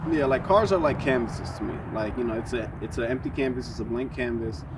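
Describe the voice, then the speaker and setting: Over noticeable background noise and audible room echo, a man with a New York accent talks very fast at a medium pitch with ordinary pitch variation. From New York, South Bronx. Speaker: car enthusiast. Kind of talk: interview. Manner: hesitant, many fillers.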